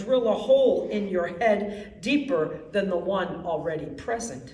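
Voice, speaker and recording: Speaking very slowly with an American accent, a woman uses a medium pitch with very wide pitch swings. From Wisconsin, Milwaukee. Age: 60s. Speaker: poet. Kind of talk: poetry reading. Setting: library event with audience.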